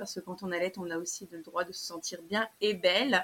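The woman has an ordinary speaking voice at medium pitch. She talks at a moderate pace with fairly even intonation. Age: 30s. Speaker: small business owner, clothing maker. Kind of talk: interview.

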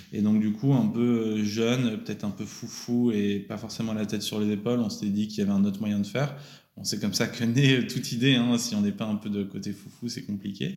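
This man has an unremarkable speaking voice, pitched fairly low, and his intonation stays fairly even. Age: 30s. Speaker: entrepreneur. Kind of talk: interview. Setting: company office.

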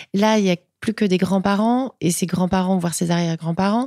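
A woman's medium-pitched, dark, mellow voice at a very fast pace with fairly even intonation, dry and close with no echo, on a very clean recording with a silent background. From Paris northern suburbs (Seine-Saint-Denis), Portuguese family. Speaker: entrepreneur, rug brand founder. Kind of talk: interview. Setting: pop-up store.

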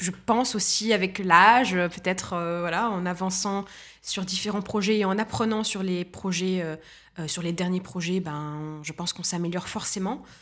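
With an unremarkable speaking voice, a woman of medium pitch talks at a fairly slow pace with lively intonation. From Tunisia. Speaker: entrepreneur. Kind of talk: interview.

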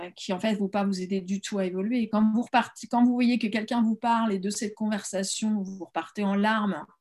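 A somewhat breathy, fairly high female voice, fairly slow and with fairly even intonation, on a very clean recording with a silent background. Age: 50s. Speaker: holistic coach. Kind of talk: interview. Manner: halting.

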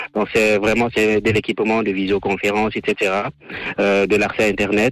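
A man keeps a moderate pace while noticeable background noise is heard behind him. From Cameroon. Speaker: electrical engineer and entrepreneur. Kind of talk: radio interview. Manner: halting, many fillers and repetitions.

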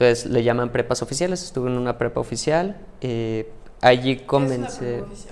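Against noticeable background noise, a medium-pitched man talks fairly quickly with ordinary pitch variation. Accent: Mexican. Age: 30s. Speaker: mathematician and AI tech specialist. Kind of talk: interview conversation.

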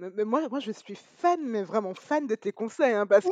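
A woman's fairly high-pitched voice, dry and close with no echo. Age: 30s. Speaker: podcast host. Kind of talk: interview. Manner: upbeat.

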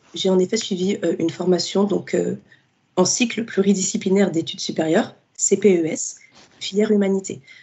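Her medium-pitched, somewhat breathy voice moves at a moderate pace with fairly even intonation. Long pauses come often between her phrases. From Paris suburbs, France. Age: 20s. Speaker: literature student and book influencer. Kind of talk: interview.

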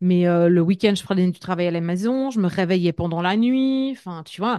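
Against a quiet background, a woman speaks at a medium pitch and a moderate pace. She has a plain, everyday voice with lively intonation. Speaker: entrepreneur and leadership coach. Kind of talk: casual interview.

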